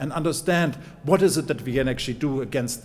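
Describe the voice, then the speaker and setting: Fairly high-pitched male speech, heard with audible room echo. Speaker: professor. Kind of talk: conference talk. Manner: fast.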